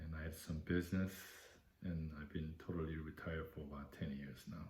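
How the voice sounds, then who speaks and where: A man speaks fairly quickly in a very deep, low voice that is somewhat breathy. His intonation is flat and monotone, and the room echo is audible. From Korea. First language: Korean. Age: 70s. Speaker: war veteran. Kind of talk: oral history interview. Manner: halting.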